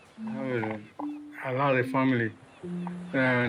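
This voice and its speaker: There is a man talking at a medium pitch. Background music accompanies him. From Cuba. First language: Spanish. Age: 60s. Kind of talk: interview answer.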